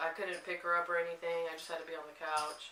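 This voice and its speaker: Through audible room echo and noticeable background noise, a woman with a fairly low pitch speaks at a fairly quick pace. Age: 20s. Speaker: young mother. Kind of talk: casual chat.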